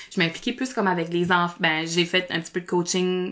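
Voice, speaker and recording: A woman speaks at a very fast pace, her pitch sitting in the medium range. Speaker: speech therapist and improviser. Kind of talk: podcast interview. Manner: animated.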